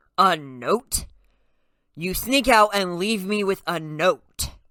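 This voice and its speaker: At a very slow pace, a put-on character voice sits at a middle pitch. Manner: angry hissing.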